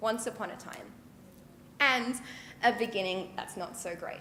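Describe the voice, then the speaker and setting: A woman with an Australian accent speaks at a moderate pace in a fairly high pitch, her voice carrying audible room echo. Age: 20s. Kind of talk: public talk. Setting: stage with audience.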